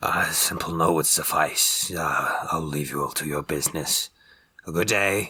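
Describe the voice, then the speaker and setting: A raspy, put-on character voice. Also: man, moderate pace. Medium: actual play. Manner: feigned humble, polite.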